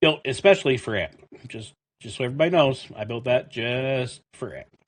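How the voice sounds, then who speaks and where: A man with a Canadian accent sounds somewhat breathy. His loudness swings widely, while his pitch varies in an ordinary way. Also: medium pitch for a man, fairly quick pace. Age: 40s. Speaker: gaming streamer and army veteran. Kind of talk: casual chat.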